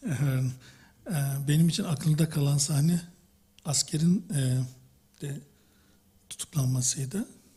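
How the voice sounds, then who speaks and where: A man's fairly high, somewhat breathy voice with a dark, mellow tone and a Turkish accent, ordinary pitch variation, a moderate pace, and long, frequent pauses. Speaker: audience member. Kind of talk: post-show discussion.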